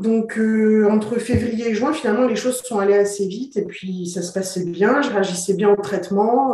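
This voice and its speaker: Her pitch is medium. The speaker is a woman. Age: 40s. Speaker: interviewee sharing her fertility treatment journey. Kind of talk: interview, personal testimony. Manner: hesitant, many fillers and repetitions.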